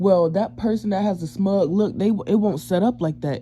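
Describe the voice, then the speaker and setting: The speaker mumbles at a moderate pace. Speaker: self-described psychic and empath. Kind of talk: storytime talk to camera. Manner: mumbling; casual, slangy.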